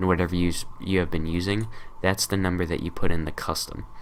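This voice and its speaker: Fairly quick male speech in a very deep, low register. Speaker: tutorial youtuber. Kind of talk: tutorial. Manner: casual, many fillers.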